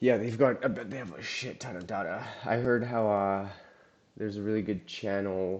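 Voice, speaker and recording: A man's fairly low voice at a moderate pace, with fairly even intonation, big swings in loudness and audible room echo. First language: Russian. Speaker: live-streamer teaching SQL. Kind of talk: live-stream tutorial with chat. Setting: live stream. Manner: casual, hesitant with many fillers.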